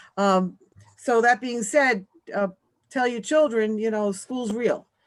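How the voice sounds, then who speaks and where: A woman with a New York accent speaks at a very slow pace. Her pitch is fairly high and varies in an ordinary way. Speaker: school principal. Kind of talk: meeting report.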